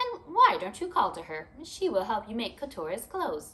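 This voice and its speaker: Putting on a character voice, a woman talks at a moderate pace in a shrill, fairly high pitch. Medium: read story.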